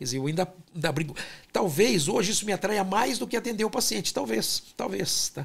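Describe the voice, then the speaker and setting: A high-pitched man's voice at a fairly quick pace, with very wide pitch swings. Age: 60s. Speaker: fertility doctor and scientist. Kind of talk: interview.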